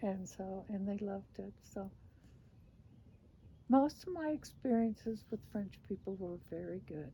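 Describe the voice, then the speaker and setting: A woman speaks at a very slow pace and medium pitch with lively intonation. Her voice is somewhat breathy, with a dark, mellow tone. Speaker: former missionary. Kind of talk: interview answer.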